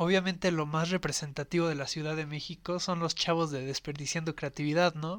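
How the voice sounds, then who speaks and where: A man speaks in a fairly high, monotone, flat voice with hardly any pauses. The recording is very clean with a silent background. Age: 20s. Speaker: podcast host. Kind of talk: casual chat.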